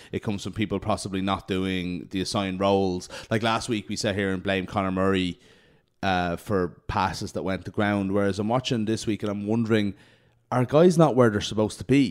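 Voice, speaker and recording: The intonation stays fairly even. The voice carries an Irish accent. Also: man, fairly low pitch for a man, fairly quick pace. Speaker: rugby podcast host. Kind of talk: casual chat.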